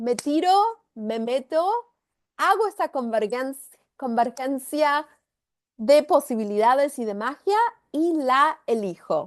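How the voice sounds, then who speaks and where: Against a quiet background, a woman with a high pitch and lively intonation talks at a very slow pace with long, frequent pauses. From Argentina. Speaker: spiritual facilitator. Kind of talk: guided energy session.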